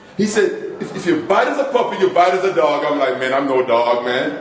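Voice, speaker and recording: A man with an American accent talks at a fairly quick pace, his pitch fairly high and swinging very widely. The room echo is audible, and background noise is noticeable. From Jamaica. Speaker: motivational speaker, former football player. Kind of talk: speech at a club meeting. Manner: animated.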